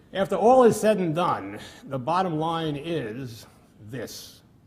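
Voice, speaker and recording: There is audible room echo around a man's voice. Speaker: mathematics researcher. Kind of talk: lecture. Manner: halting, many fillers.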